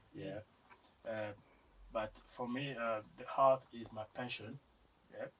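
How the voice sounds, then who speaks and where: With a Congolese accent, a man at medium pitch speaks at a very slow pace, with fairly even intonation and long, frequent pauses. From Democratic Republic of Congo. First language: French. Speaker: comic book artist and painter. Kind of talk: podcast interview. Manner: halting.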